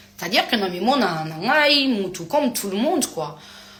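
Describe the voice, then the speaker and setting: A woman speaks over noticeable background noise. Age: 30s. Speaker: influencer answering fans on a live. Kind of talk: live stream chat reading comments. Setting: live stream.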